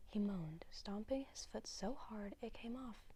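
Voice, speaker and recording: A soft-spoken woman talks at a fairly high pitch with a dark, mellow tone and a calm tone. Her voice is somewhat breathy, with ordinary pitch variation at a moderate pace. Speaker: ASMR reader. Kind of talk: soft-spoken bedtime book reading. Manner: soft-spoken, calm.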